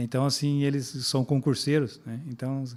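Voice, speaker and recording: A man talks at a moderate pace and a medium pitch. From Brazil, Alagoas (Northeast), later Paraná. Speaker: retired police officer, city security secretary. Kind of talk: podcast interview.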